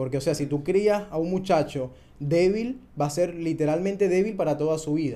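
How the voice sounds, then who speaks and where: The man's pitch is fairly high. His tone is dark and mellow. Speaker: podcast host. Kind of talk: casual chat.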